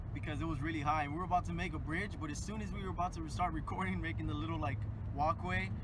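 Amid loud background noise, a man speaks at a very fast pace in a dry sound with no echo. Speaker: vlogger. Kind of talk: casual vlog chat. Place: car. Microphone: phone near.

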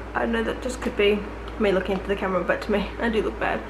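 Noticeable background noise fills the recording. Through it, a woman talks. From Australia. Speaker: YouTuber. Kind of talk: casual talk to camera. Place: home room.

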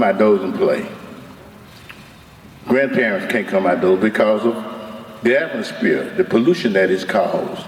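A man with an Alabama accent, moderate pace, very wide pitch swings and long, frequent pauses, over noticeable background noise. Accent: Southern US (Alabama). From US South, Mobile, Alabama. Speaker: community activist, retired Marine officer. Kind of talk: public hearing testimony. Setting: public hearing at microphone.

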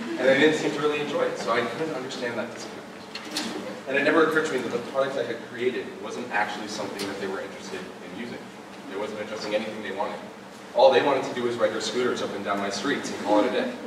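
A very fast pace amid audible room echo and noticeable background noise. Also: man, ordinary pitch variation. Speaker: speaker. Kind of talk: public talk. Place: stage.

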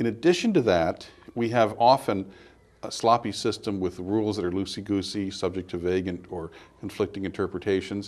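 A man with an American accent and an unremarkable speaking voice talks at a fairly quick pace, his pitch fairly low and his intonation fairly even. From California. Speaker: political columnist and commentator; commentator. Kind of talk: interview. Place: studio.

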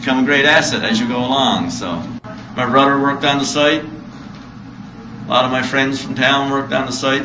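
Audible room echo and light background noise surround a man talking at a moderate pace. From Red Bay, Labrador, Canada. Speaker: historic site interpreter. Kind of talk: casual interview answer. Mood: friendly, relaxed.

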